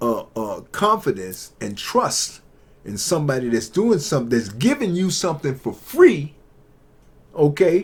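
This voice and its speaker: A man talks in an animated tone with very wide pitch swings. His pitch is fairly high. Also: fairly slow pace. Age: 60s. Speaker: YouTube commentator on investing and tech. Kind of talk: casual monologue to camera.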